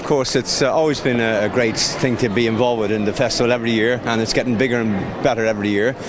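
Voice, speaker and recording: A man at a medium pitch, very fast with hardly any pauses, in monotone, flat intonation and very even loudness, amid audible room echo and noticeable background noise. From Ireland. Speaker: community radio presenter. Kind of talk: interview. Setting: launch event at town hall; radio station. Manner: hesitant, many fillers.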